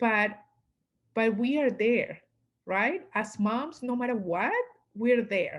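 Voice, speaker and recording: A woman with a strong Latin American accent speaks at a very slow pace with fairly high pitch, ordinary pitch variation and long, frequent pauses. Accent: heavy Latin American Spanish. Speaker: business coach. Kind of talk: interview.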